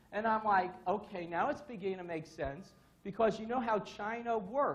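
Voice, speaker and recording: An animated tone at a fairly quick pace, with ordinary pitch variation and audible room echo. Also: man. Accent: New York. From New York, Brooklyn. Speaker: security consultant, conference speaker. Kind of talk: conference talk.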